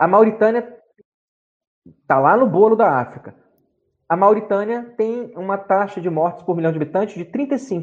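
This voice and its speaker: A man's high-pitched voice at a moderate pace, with ordinary pitch variation and long, frequent pauses. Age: 50s. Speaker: doctor and writer. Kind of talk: casual interview on a live stream.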